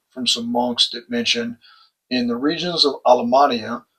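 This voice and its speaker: This man speaks with a Texan accent in a monotone, flat intonation. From Texas. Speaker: religious educator and channel host. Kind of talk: lecture.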